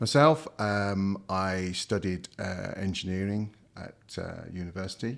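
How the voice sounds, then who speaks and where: Speaking with a Midlands accent at a fairly low pitch, a man hardly pauses, his pitch varying in an ordinary way on a very clean recording with a silent background. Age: 60s. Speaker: company founder and executive. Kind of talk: interview. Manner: hesitant, many fillers.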